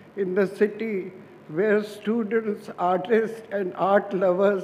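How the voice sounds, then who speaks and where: Over noticeable background noise, a man speaks very slowly in a high voice with fairly even intonation. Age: 80s+. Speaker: restaurant founder. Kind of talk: award acceptance speech.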